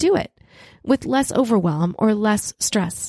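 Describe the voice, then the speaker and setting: In an unremarkable speaking voice, a woman talks at a fairly high pitch with lively intonation, in a dry, close sound with no echo. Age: 50s. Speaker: podcast host and ministry leader. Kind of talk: solo podcast teaching monologue.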